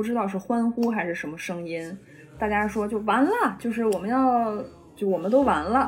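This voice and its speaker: A woman talks at a moderate pace and medium pitch, with ordinary pitch variation. Noticeable background noise and audible room echo are present. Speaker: drama student. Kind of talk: casual chat. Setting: remote call.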